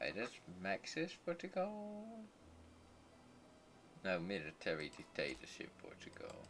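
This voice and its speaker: A man talks with a Dutch accent at a fairly slow pace. Long pauses come often. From southern Netherlands. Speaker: gaming streamer. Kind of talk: live gameplay commentary. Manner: halting.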